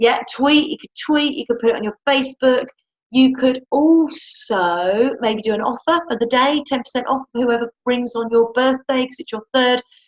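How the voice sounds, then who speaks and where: Here a woman with a British accent speaks at a high pitch with ordinary pitch variation. Her loudness swings widely. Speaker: webinar host and clinic owner. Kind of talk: casual live webinar chat. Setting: live webinar from a clinic. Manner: fast.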